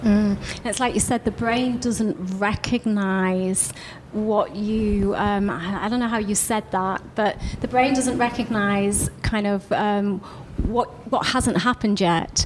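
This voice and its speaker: Over noticeable background noise, a woman at a medium pitch speaks very slowly with fairly even intonation. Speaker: podcast host. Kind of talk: podcast interview.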